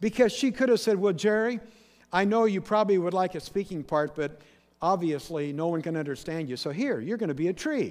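A man's high-pitched voice, lively in intonation, at a fairly quick pace against a quiet background. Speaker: pastor. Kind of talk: sermon. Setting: church.

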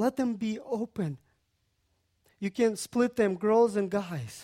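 Speaking at a fairly slow pace, this voice has a dark, mellow tone and a Central Asian accent. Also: man. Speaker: guest preacher. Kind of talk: sermon.

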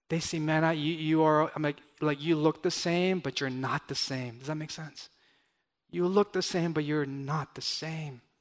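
In a very clean recording with a silent background, a man with an American accent uses an ordinary speaking voice, fairly high in pitch, at a moderate pace with fairly even intonation. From Los Angeles, US. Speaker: pastor. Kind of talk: sermon.

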